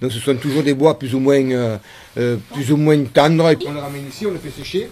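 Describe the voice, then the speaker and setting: A man with a fairly high voice speaks against noticeable background noise. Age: 60s. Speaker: wood sculptor, former cabinetmaker. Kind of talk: interview. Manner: halting, many hesitations.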